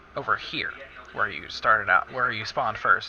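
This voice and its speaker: A man's voice with noticeable background noise. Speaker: gamer. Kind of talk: tutorial. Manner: halting.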